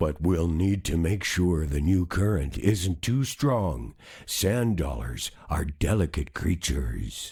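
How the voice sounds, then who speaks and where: A man uses a put-on character voice with a very deep, low pitch at a fairly slow pace. The recording is very clean, with a silent background. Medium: read story. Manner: thoughtful, calm.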